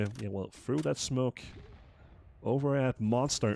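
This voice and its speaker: A man speaks at a moderate pace with a Danish accent. His pitch is medium and varies in an ordinary way. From Denmark. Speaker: esports commentator. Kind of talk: live commentary. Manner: halting.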